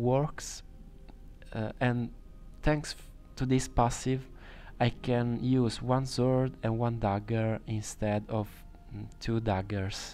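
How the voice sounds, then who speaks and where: A man with an Italian accent speaks at a very slow pace, in a dark, mellow tone at a medium pitch. His intonation stays fairly even, broken by long, frequent pauses. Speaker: video game streamer. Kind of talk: tutorial. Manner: halting.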